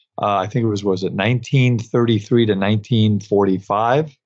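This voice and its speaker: A man's normal speaking voice, fairly low in pitch, with an American accent. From New York (Brooklyn). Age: 60s. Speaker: podcast host, dental accountant. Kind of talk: solo podcast monologue. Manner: many filler words, uh.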